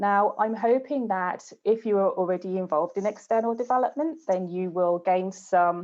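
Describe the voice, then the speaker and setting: A woman with a British accent speaks at medium pitch and a moderate pace. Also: ordinary pitch variation, hardly any pauses. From UK. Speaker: game studio external development manager. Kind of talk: webinar presentation.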